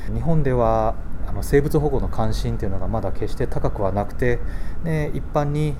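There is audible room echo as a man talks fairly quickly with lively intonation. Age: 50s. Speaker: marine life illustrator and company head. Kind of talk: interview.

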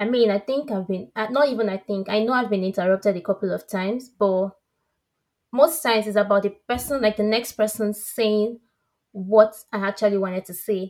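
Fairly quick in pace, a woman talks in a fairly high pitch with an animated tone and ordinary pitch variation. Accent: Nigerian. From Nigeria. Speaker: podcast co-host, teacher. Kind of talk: casual chat.

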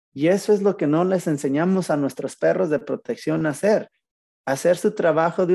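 In a Mexican accent, a man with a fairly high pitch and a dark, mellow tone talks at a moderate pace with ordinary pitch variation. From Mexico, Zacatecas. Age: 40s. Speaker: dog trainer. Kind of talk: casual interview. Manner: calm, relaxed.

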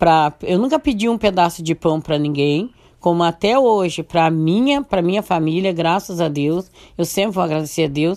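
Over a very clean recording with a silent background, a woman talks at a moderate pace with very even loudness. She has a plain, everyday voice, fairly low in pitch with ordinary pitch variation. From southern Brazil, Santo Antônio da Patrulha area. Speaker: community leader. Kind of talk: radio interview, life story.

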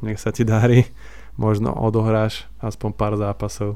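His voice is fairly low, with monotone, flat intonation at a moderate pace. The man is heard in a very clean recording with a silent background. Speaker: football fan podcast co-host. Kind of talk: casual chat.

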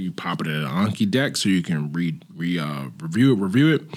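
Over noticeable background noise, a man with an American accent talks at a fairly quick pace in a very deep, low voice with lively intonation. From Pittsburgh, US. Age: 30s. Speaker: former boxer and author. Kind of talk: casual chat.

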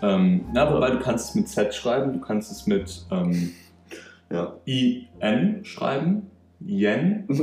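A man speaks at a very slow pace and medium pitch, with very wide pitch swings. Noticeable background noise runs throughout. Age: 20s. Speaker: podcast host, engineering student. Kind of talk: casual chat.

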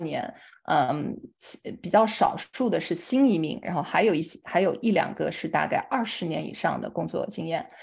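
Vocal fry with a slight Chongqing accent, over a quiet background. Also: woman. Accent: slight Chongqing accent in Mandarin. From China, Chongqing. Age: young. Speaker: nonprofit fundraising director. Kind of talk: lecture.

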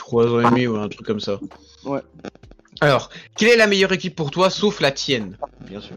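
Fairly high-pitched male speech, fairly quick, with very wide pitch swings, long and frequent pauses, and noticeable background noise. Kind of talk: casual chat. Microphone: new microphone.

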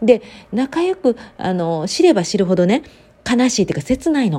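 A dark, mellow tone at a fairly quick pace, with very wide pitch swings. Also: woman. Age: 30s. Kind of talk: casual solo monologue. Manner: casual, rambling with fillers.

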